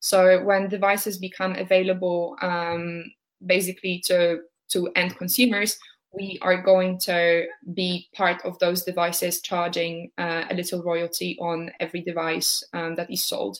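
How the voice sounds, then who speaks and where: Using a monotone, flat intonation, a woman with a Polish accent speaks at a fairly slow pace. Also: fairly low pitch for a woman. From Poland, Warsaw. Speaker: startup founder. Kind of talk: interview.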